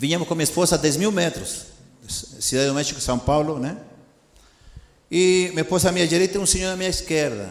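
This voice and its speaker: With a Spanish accent and a fairly high pitch, a man talks at a fairly quick pace with ordinary pitch variation and long, frequent pauses, amid audible room echo and noticeable background noise. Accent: Spanish-accented Portuguese (portunhol). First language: Spanish (speaking Portuguese). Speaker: missionary preacher. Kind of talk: sermon. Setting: church. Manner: animated.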